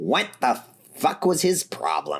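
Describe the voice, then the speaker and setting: Using a put-on character voice, a man speaks at a medium pitch with a raspy quality. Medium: read story. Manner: brash, profane.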